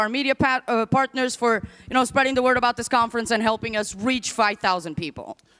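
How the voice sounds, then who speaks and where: Loud and animated, the speaker has a non-native accent and ordinary pitch variation in a dry, close sound with no echo. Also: woman. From Portugal. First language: not English. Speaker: conference MC. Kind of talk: live event hosting. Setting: stage with audience.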